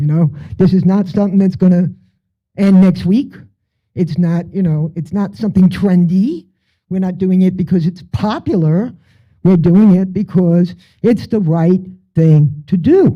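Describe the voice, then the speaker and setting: A man speaks at a fairly slow pace with a high pitch and a dark, mellow tone, his pitch varying in an ordinary way and his speech broken by long, frequent pauses. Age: 60s. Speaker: activist speaking at a poetry event. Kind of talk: speech to an audience. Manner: animated.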